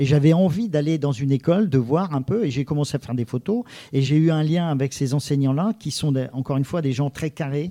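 In a dark, mellow tone, a man speaks with ordinary pitch variation, the sound dry and close with no echo. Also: fairly high pitch for a man, fairly quick pace. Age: 50s. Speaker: photographer and newspaper reporter. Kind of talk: interview. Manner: halting, with many repetitions.

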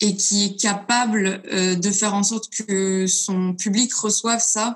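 A woman speaks in a monotone, flat intonation at a medium pitch, her voice somewhat breathy. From France, Lyon. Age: 20s. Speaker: singer-songwriter. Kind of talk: interview.

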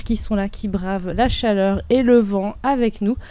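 Her voice is fairly high for a woman, with fairly even intonation and an unremarkable speaking voice. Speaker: festival radio host. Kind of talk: live radio show. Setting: outdoors.

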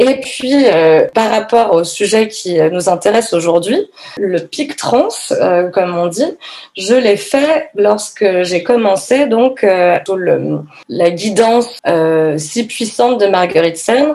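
A woman at a fairly high pitch, with lively intonation and a very slow pace, over noticeable background noise. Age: 30s. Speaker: yoga teacher and feminist activist. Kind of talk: testimony. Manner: halting.

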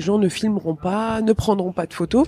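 In a very clean recording with a silent background, a woman with a fairly high pitch and a dark, mellow, somewhat breathy tone speaks at a moderate pace, the sound dry and close with no echo. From Tunisia. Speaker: stand-up comedian. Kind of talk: interview.

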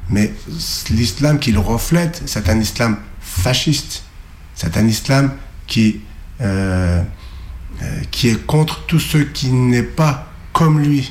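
A man at a very slow pace with long, frequent pauses and very even loudness, over noticeable background noise. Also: medium pitch for a man, lively intonation. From Turkey (Kurdish, Alevi). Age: 40s. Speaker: activist on hunger strike. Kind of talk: interview. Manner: halting, many hesitations.

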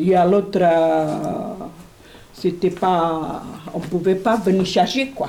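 Speaking at a very slow pace with long, frequent pauses, a woman of medium pitch uses ordinary pitch variation. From Portugal. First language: Portuguese (speaking French). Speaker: immigrant. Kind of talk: testimony.

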